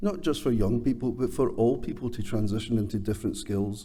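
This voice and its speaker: Speaking with a Scottish accent, a man has a dark, mellow tone at a medium pitch. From Scotland. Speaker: construction training chief executive. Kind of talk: award presentation speech.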